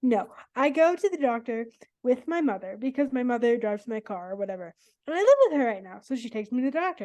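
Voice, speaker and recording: A high-pitched woman with an American accent and a dark, mellow tone, at a very fast pace with lively intonation and big swings in loudness, against a quiet background. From California, US. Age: 20s. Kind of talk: podcast interview.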